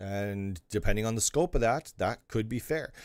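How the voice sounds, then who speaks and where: A man with an unremarkable speaking voice, medium pitch and moderate pace, in a very clean recording with a silent background. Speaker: live streamer answering viewer questions on game server administration. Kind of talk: live Q&A stream reading chat. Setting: live stream.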